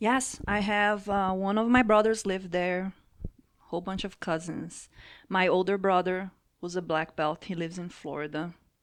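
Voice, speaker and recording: The speech moves at a moderate pace with fairly even intonation on a very clean recording with a silent background. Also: woman, medium pitch for a woman. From Brazil. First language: Portuguese. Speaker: jiu-jitsu athlete. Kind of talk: casual chat.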